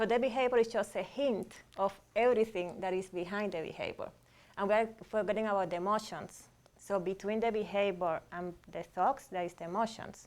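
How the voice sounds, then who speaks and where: Using a Cuban accent, a woman speaks at a fairly quick pace with ordinary pitch variation. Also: medium pitch for a woman. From Cuba, Havana. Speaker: psychologist, relationship and sex therapist. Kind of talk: panel discussion.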